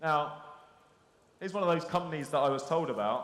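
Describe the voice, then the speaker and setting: A man with a London accent speaks at a very fast pace, with audible room echo. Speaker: conference speaker, SEO business. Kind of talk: conference presentation. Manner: conversational, interactive.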